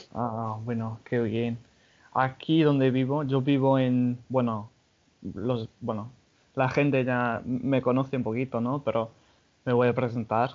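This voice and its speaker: A man with an English accent speaks in a flat, monotone intonation. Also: medium pitch for a man, fairly slow pace. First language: English (speaking Spanish). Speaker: podcast host. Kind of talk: casual chat.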